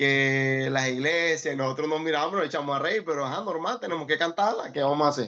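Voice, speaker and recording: A man with a Maracaibo accent and a fairly high pitch, against a quiet background. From Venezuela, Maracaibo. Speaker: music student. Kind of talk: casual chat.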